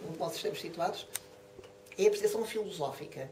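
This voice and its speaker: A woman with a European Portuguese accent speaks at a medium pitch with ordinary pitch variation. Audible room echo and noticeable background noise surround her voice. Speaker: professor of philosophy, lecturer. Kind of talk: lecture. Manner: fast.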